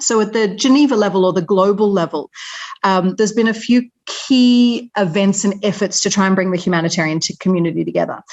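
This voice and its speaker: A woman with an Australian accent speaks at a fairly quick pace, her medium pitch and loudness very even throughout. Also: ordinary pitch variation. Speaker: humanitarian organisation representative. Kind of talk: webinar presentation.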